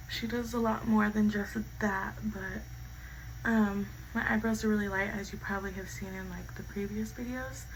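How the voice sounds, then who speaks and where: A woman's voice rises and falls sharply in loudness, with audible room echo. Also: moderate pace. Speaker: beauty vlogger. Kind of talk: get-ready-with-me storytime chat. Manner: casual, filler-heavy.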